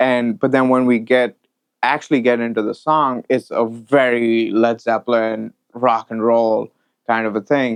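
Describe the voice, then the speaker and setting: A man with an Indian accent at a moderate pace and medium pitch, with fairly even intonation, dry, close sound with no echo and a quiet background. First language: Hindi. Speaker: audio mixing engineer. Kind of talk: interview conversation.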